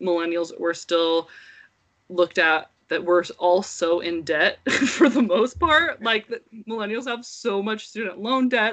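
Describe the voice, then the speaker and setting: A woman talks at a medium pitch with ordinary pitch variation in an unremarkable speaking voice. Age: 30s. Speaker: podcast co-host and mother. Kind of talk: casual chat.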